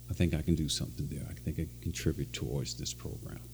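Very deep and low-pitched, this man's voice has a dark, mellow tone and vocal fry. He talks at a fairly quick pace with ordinary pitch variation. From western Kentucky. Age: 60s. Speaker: former college football player. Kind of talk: interview.

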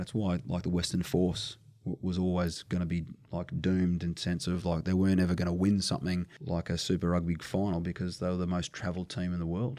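A man with a very deep, low pitch and a dark, mellow tone speaks at a very fast pace with fairly even intonation. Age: 40s. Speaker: strength and conditioning coach. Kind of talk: casual chat.

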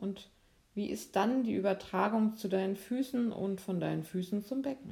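A woman speaks in a calm tone that is dark, mellow and somewhat breathy. Her pitch variation is ordinary. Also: medium pitch for a woman. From Lübeck, northern Germany, raised from 14 in Freiburg. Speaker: physiotherapist and movement teacher. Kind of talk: guided movement lesson; interview. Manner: calm, slow instructional.

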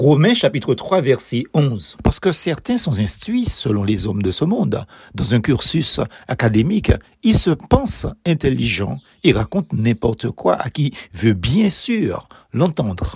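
The delivery is very slow, with vocal fry. Pitch swings very widely throughout. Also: man, fairly high pitch for a man. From Martinique. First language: Martinican Creole (speaking French). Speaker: preacher. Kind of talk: devotional meditation.

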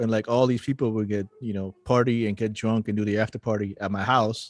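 The man's voice sits at a medium pitch with fairly even intonation. The background is quiet. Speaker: soccer podcast co-host. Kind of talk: casual chat. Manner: halting.

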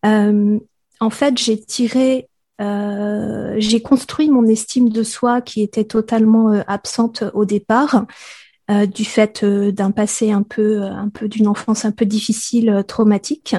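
Very slowly, a woman speaks at a fairly high pitch, her dark, mellow tone somewhat breathy and her intonation flat and monotone, in a dry, close sound with no echo against a quiet background. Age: 40s. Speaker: podcaster and sensitivity coach. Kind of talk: interview. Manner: hesitant, many filler sounds.

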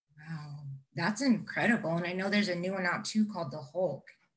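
A woman with an unremarkable speaking voice talks at a fairly low pitch with ordinary pitch variation. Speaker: podcast co-host. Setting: video call.

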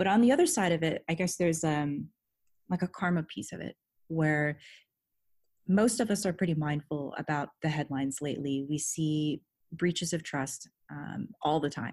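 Over a quiet background, a woman with an American accent talks at a moderate pace in a very deep, low voice. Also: ordinary pitch variation. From Southern California. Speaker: head of security. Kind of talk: interview.

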